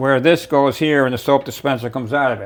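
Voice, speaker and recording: At a moderate pace, a man talks in a medium pitch with monotone, flat intonation. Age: 70s. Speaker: DIY video maker. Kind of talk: tutorial. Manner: casual with many fillers.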